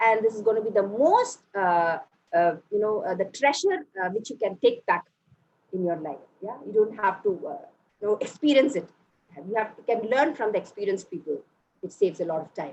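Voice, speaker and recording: A woman with a Tamil accent speaks fairly quickly at a fairly high pitch. Her loudness swings widely. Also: lively intonation. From Bihar, India, then Chennai. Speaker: motivational speaker. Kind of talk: motivational talk.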